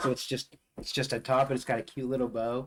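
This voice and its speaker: A man talks at a fairly quick pace in an ordinary speaking voice. His medium pitch shows ordinary variation. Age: 50s. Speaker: livestream guest. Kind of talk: casual livestream chat.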